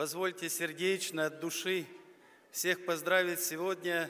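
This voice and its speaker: A man's bright, sharp voice at a very slow pace, with fairly even intonation. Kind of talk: festive address speech. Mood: warm, solemn, festive. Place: stage.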